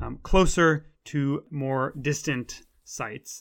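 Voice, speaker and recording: In a very clean recording with a silent background, a man with an unremarkable speaking voice and an American accent talks at a fairly high pitch with ordinary pitch variation. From US. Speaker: lecturer and podcast host. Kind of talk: scripted-style informative talk. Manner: informal, conversational with fillers.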